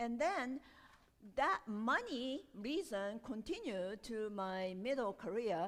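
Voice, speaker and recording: Very slowly, a woman with a Japanese accent speaks at a fairly high pitch with very wide pitch swings. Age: 60s. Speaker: storyteller and performer. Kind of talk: interview Q&A. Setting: art gallery with audience. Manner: halting.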